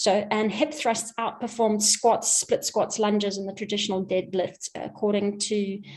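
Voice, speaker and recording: This woman has an ordinary speaking voice with a fairly high pitch. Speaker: physiotherapist presenting on running. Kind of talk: webinar presentation.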